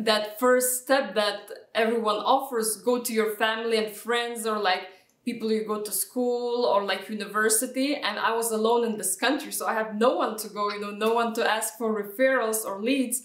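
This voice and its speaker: Through noticeable background noise, a woman talks at a moderate pace in a fairly high pitch with monotone, flat intonation. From Lithuania. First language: Lithuanian. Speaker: real estate agent. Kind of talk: interview answer.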